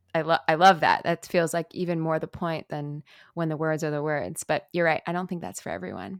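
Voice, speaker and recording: The voice comes at a very fast pace with an American accent and ordinary pitch variation. The sound is dry and close, with no echo. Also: woman. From New York City, Manhattan (Chelsea). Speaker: musician. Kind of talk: interview. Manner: halting.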